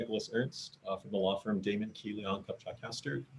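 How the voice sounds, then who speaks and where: A man with a somewhat breathy voice and fairly low pitch talks at a fairly quick pace, his pitch varying in an ordinary way. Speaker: attorney testifying for a client. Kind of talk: public testimony at a government hearing. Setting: video conference. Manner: fast; halting, many fillers and repetitions. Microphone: too quiet at first.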